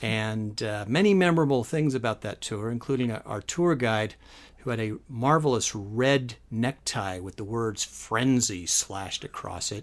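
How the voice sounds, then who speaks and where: In a very clean recording with a silent background, a man with an American accent and an unremarkable speaking voice talks at a fairly slow pace and medium pitch, with ordinary pitch variation. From US West Coast (San Francisco Bay Area). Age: 50s. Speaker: guest podcast host. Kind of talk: casual chat.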